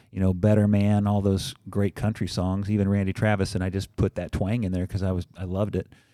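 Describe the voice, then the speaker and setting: Fairly quick and monotone with flat intonation, a man speaks in a Midwestern American accent at a fairly low pitch. His dark, mellow tone comes through a dry, close sound with no echo on a very clean recording with a silent background. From Southern Illinois. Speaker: teacher and musician. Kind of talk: podcast interview. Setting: studio.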